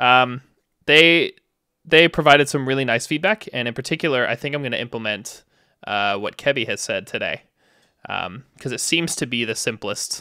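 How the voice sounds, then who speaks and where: Mumbling at a moderate pace, a man speaks in a medium pitch with ordinary pitch variation and a bright, sharp tone on a very clean recording with a silent background. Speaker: demoscene programmer and live streamer. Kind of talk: live coding stream. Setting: live stream with chat. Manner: casual, lots of fillers.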